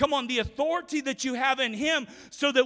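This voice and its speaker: A man's extremely high-pitched, raised, projected voice, bright and sharp in tone, at a moderate pace. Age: 40s. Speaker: pastor. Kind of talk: sermon. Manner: animated.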